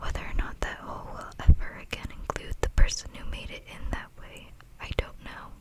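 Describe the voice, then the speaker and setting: A whispering woman at a moderate pace, with noticeable background noise. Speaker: ASMR creator. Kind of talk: book reading for sleep. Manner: whispered, soft-spoken.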